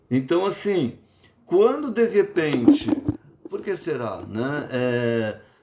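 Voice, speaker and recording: A man's high voice at a very slow pace, with very wide pitch swings and long, frequent pauses. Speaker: psychologist. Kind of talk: lecture. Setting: live stream. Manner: halting.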